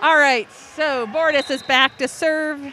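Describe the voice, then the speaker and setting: A woman with an American accent uses a raised, projected voice at a high pitch over noticeable background noise. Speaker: volleyball play-by-play announcer. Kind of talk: live commentary. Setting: indoor gym with loud crowd. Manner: loud, sometimes yelling.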